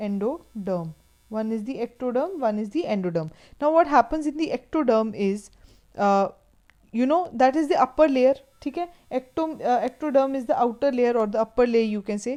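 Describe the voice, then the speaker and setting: A woman with an Indian accent talks at a moderate pace in a high, dark, mellow voice with lively intonation. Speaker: teacher. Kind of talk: lecture. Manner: halting.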